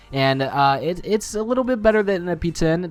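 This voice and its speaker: A man races through his words at a very fast pace as music plays in the background. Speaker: gaming YouTuber. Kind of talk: gameplay commentary. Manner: halting, stuttering; casual.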